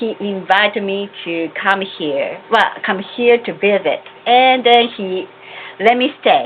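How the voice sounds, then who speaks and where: Over noticeable background noise, a woman with a Japanese accent speaks very slowly at a medium pitch with ordinary pitch variation. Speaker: religious community member. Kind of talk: testimony. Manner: formal.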